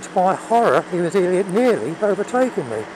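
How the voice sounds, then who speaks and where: Noticeable background noise runs under a man speaking at a moderate pace. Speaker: motorcycle vlogger. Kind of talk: casual vlog monologue. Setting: outdoors riding a motorbike. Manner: halting.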